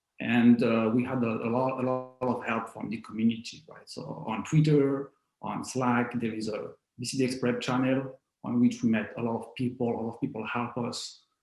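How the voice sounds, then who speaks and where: A man talks at a moderate pace with a non-native accent and a flat, monotone delivery. Music plays behind him. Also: medium pitch for a man, big swings in loudness. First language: not English. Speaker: IT consulting architect. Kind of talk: interview. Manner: halting, many repetitions.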